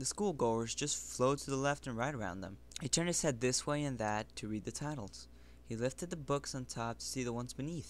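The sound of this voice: An unforced reading voice and pitch with ordinary variation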